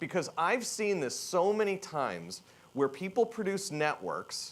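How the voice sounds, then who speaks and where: Loud and energetic, a man speaks at a high pitch with ordinary pitch variation. His pace is fairly slow. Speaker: keynote speaker, tech executive. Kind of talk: conference keynote talk. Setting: stage with audience. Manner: provocative, energetic.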